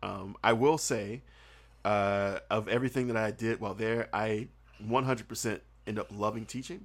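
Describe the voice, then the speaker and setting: With an American accent and a medium pitch, a man talks at a moderate pace and with fairly even intonation in a very clean recording with a silent background. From US South. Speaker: guest who taught English in Korea. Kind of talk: casual chat.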